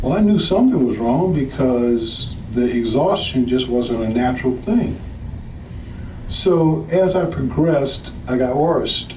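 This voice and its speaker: Speaking at a fairly slow pace with an American accent, a man uses a medium-pitched voice with ordinary pitch variation, amid audible room echo and noticeable background noise. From US South, New Orleans. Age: 60s. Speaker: patient giving testimonial. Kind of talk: testimony.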